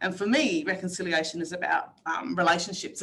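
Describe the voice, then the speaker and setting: Her fairly low voice moves at a fairly quick pace as this woman talks. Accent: Australian. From Northern Territory, Australia. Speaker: workshop facilitator. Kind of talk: online workshop presentation. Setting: video call. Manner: fast.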